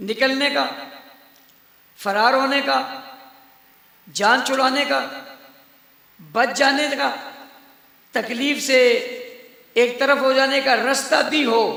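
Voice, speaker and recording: Against noticeable background noise, a man uses a raised, projected voice at an extremely high pitch, monotone and flat, with very even loudness. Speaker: Islamic preacher delivering a sermon. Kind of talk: passionate religious sermon to a live audience. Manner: emphatic, rhetorical, call-and-response with the crowd.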